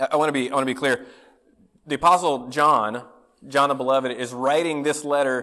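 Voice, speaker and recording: There is a man talking at a fairly quick pace. His intonation stays fairly even. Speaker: pastor. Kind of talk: sermon. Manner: mumbling; halting.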